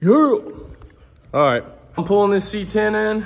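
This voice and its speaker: Speaking at a fairly slow pace, a man with a high pitch uses an animated, excited tone and lively intonation. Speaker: car and shop vlogger. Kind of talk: casual vlog talk to camera. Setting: in a workshop.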